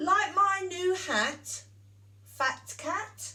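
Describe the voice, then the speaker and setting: A woman puts on a character voice at an extremely high pitch, with light noise in the background. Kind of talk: bedtime story. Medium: read story.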